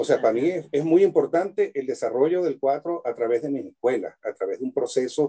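Recorded with a dry, close sound and no echo, a man speaks at a fairly quick pace with hardly any pauses. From Venezuela, Maracaibo. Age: 60s. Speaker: luthier and cuatro player. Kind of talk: casual interview chat. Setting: video call from his workshop.

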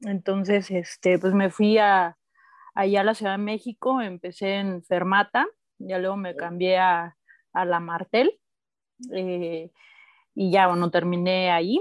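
A woman with a Mexican accent and a medium pitch speaks at a fairly slow pace with long, frequent pauses and fairly even intonation, in a dry, close sound with no echo on a very clean recording with a silent background. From Mexico, Oaxaca. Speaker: audio engineer and music promoter. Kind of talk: casual chat.

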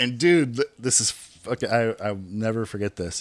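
A man with a Californian accent talks with ordinary pitch variation in a very clean recording with a silent background and a dry, close sound with no echo. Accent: Californian American. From California, Bay Area (Hayward). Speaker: thrash metal musician. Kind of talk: casual interview.

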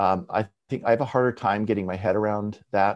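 Against a quiet background, a man with a western Canadian accent speaks at a moderate pace in a fairly low voice with fairly even intonation. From Canada, Abbotsford, British Columbia. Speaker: artist and art professor. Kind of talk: interview. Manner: halting, many fillers.

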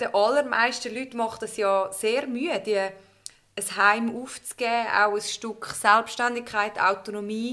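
A woman's bright, sharp, fairly high voice with a Swiss accent, at a fairly slow pace and fairly even intonation, on a very clean recording with a silent background. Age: young. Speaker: podcast host. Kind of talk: life-story interview. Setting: living room. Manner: cheerful, laughing.

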